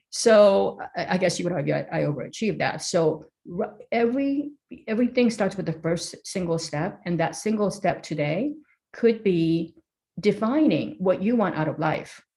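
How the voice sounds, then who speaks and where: In a Korean accent, a woman speaks at a moderate pace with lively intonation and a somewhat breathy sound. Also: medium pitch for a woman. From South Korea. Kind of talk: interview.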